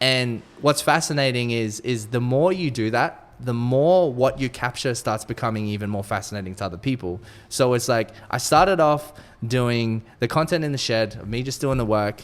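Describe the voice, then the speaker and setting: This man has a normal speaking voice and a medium pitch. He talks at a moderate pace with ordinary pitch variation. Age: 20s. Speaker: vintage clothing business owner and content creator. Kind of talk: interview. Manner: conversational, slightly repetitive with restarts.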